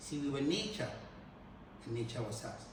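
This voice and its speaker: A man with ordinary pitch variation, over noticeable background noise. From Ghana. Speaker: spoken word poet. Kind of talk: live spoken word poetry.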